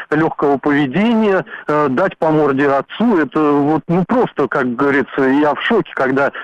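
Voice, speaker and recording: With noticeable background noise but a dry, close sound with no echo, a man at a fairly high pitch speaks at a moderate pace with ordinary pitch variation. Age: 30s. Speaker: radio caller. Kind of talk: call-in comment. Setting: phone call.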